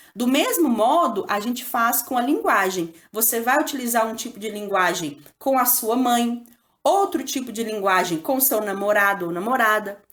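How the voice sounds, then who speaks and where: A woman with a Minas Gerais accent speaks at a fairly slow pace. Her fairly high voice carries lively intonation. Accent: Minas Gerais (mineiro), strong rolled R. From Brazil, Minas Gerais. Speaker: school teacher. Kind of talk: lesson / tutorial. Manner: casual, conversational.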